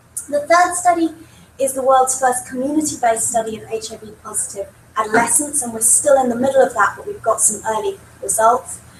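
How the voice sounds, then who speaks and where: Noticeable background noise surrounds a woman with a high pitch and lively intonation. She speaks fairly quickly with big swings in loudness. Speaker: professor. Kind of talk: lecture.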